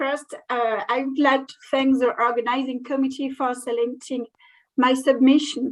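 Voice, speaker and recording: The speaker talks at a fairly slow pace in a French accent. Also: woman. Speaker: museum curator. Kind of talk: conference presentation. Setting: online video call. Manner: halting.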